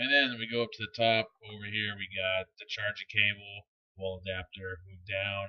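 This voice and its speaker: Mumbling at a moderate pace, a man keeps a fairly low pitch and monotone, flat intonation, with big swings in loudness. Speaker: e-cigarette product reviewer. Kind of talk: product review. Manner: casual, hesitant with many fillers.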